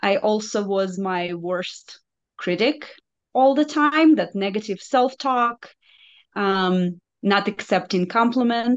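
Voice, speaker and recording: Speaking in a Russian accent, a woman goes at a very slow pace. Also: fairly high pitch for a woman, quiet background. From Belarus. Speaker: nurse and health coach. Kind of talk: interview, personal testimony.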